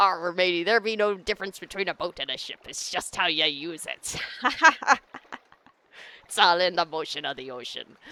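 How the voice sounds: Long, frequent pauses break up a put-on character voice at a middle pitch. The pace is moderate.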